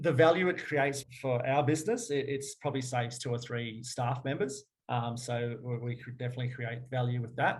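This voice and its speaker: A somewhat breathy man at medium pitch talks at a fairly quick pace with fairly even intonation and hardly any pauses. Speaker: fitness business owner. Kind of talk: webinar presentation and Q&A. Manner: fast.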